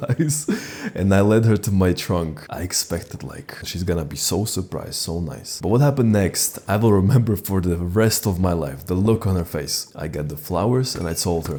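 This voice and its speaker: Lively intonation carries speech delivered with a non-native accent. Noticeable background noise runs underneath. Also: man. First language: not English. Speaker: dating advice YouTuber. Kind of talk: casual storytelling monologue. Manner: casual, conversational.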